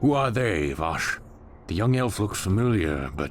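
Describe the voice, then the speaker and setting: Over clear background music, a man puts on a character voice at a fairly low pitch and a moderate pace. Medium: video game. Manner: dry, imperious.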